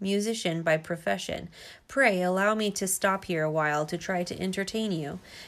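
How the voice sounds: Pitch varies in an ordinary way across this natural reading voice.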